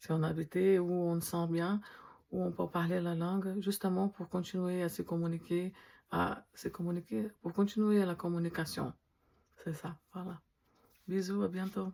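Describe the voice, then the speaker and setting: Speaking at a fairly slow pace with long, frequent pauses, a woman with a non-native accent has a fairly low pitch and a dark, mellow tone. The recording is very clean with a silent background. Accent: foreign accent in French. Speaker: dental technician. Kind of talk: casual vlog talk to camera. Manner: hesitant, with fillers.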